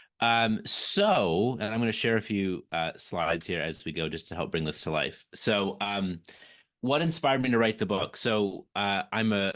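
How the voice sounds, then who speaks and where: With a quiet background, a man speaks at a moderate pace, his pitch varying in an ordinary way. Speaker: author and leadership speaker. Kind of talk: virtual event interview. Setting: video call. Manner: halting, with repetitions.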